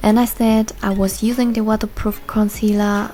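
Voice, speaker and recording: A woman with a German accent at a moderate pace, her pitch in the medium range, with noticeable background noise behind her. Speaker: beauty vlogger. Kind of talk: tutorial.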